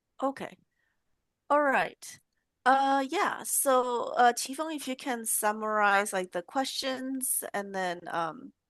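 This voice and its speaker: A woman with a Fujianese accent, high-pitched, with lively intonation and a very slow pace, against a quiet background. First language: Hokkien. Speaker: professor, lab head. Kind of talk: casual academic chat.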